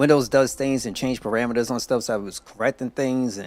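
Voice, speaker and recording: A fairly quick pace of speech over music in the background. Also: man. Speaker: gaming streamer. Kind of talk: casual live stream chat. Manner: soft-spoken.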